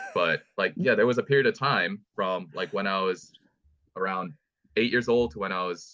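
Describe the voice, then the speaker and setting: A man with an American accent at a moderate pace. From South Korea. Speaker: powerlifter. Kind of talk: casual chat. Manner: halting.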